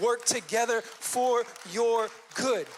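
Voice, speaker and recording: A man talks with a high-pitched voice. Noticeable background noise is present. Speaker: pastor. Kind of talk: sermon. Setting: church stage. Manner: fast.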